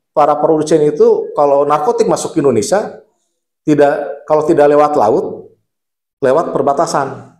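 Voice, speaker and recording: With audible room echo, a man with a fairly high voice speaks at a moderate pace and very even loudness. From West Java, Bandung (Sundanese). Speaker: lawyer and legal aid organization leader. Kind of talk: podcast interview. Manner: casual, repetitive fillers.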